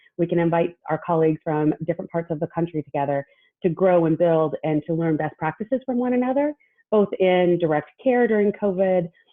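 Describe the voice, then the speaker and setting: In an American accent, a woman speaks fairly quickly with a fairly low pitch and ordinary pitch variation. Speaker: social worker. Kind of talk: webinar presentation. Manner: fast.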